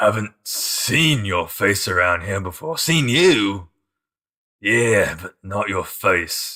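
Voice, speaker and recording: In a put-on character voice, a man speaks at a fairly low pitch and a very slow pace with lively intonation. The recording is very clean, with a silent background. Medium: actual play.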